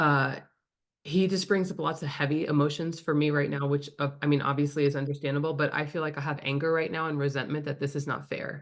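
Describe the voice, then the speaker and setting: A woman with a very deep, low pitch talks at a fairly quick pace against a quiet background. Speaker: spirit medium. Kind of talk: mediumship reading. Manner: fast; animated.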